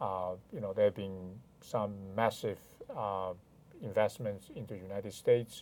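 A man with a Chinese accent and a dark, mellow tone speaks at a moderate pace and fairly low pitch, with long, frequent pauses and big swings in loudness. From China (Hainan). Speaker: lawyer. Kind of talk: interview conversation. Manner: hesitant, frequent fillers.

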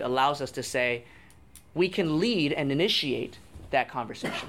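A man with an American accent, fairly high-pitched, moderate pace, lively intonation, an unremarkable speaking voice. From Auckland, New Zealand and New Jersey, US. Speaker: news executive. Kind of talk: public Q&A discussion.

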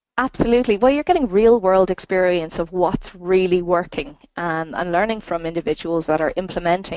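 With an Irish accent, a woman speaks at a fairly quick pace. Her pitch is fairly low, with ordinary variation. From Ireland. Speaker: marketing consultant and trainer. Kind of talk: interview. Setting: phone call.

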